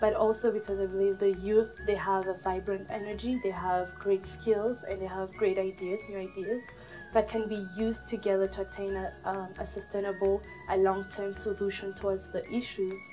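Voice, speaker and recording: Music plays behind a woman who speaks at a moderate pace with monotone, flat intonation. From Burundi. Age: 20s. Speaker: Red Cross volunteer. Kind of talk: interview answer. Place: office.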